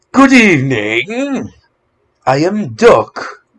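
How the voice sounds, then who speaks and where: A man performs a put-on character voice. His pitch is high. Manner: silly, exaggerated.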